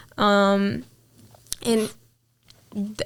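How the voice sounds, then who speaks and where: A woman speaks with an Israeli accent. Her pitch is medium. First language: Hebrew. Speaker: interviewee sharing faith story. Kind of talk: testimony. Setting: interview.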